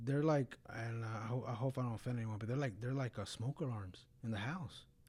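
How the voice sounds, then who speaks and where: The voice is somewhat breathy with a dark, mellow tone and moves at a fairly quick pace. The recording is very clean, with a silent background. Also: man. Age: 30s. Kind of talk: casual faith conversation. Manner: intense, can sound angry.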